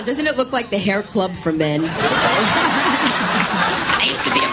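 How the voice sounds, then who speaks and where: A woman speaks very slowly at a medium pitch, her pitch swinging very widely while her loudness stays very even. Noticeable background noise runs underneath. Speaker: comedian. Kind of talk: stand-up comedy.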